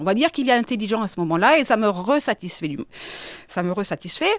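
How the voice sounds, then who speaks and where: The voice shows big swings in loudness and very wide pitch swings. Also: woman. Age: 50s. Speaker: business consultant and psychic. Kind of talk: interview testimony. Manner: halting, with many repetitions and fillers.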